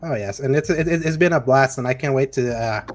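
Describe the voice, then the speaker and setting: With noticeable background noise behind him, a man at medium pitch speaks fairly quickly with a Spanish accent. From El Salvador. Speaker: podcast host. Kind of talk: casual chat. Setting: podcast.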